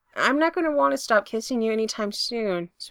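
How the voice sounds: In a natural reading voice, the speaker uses lively intonation.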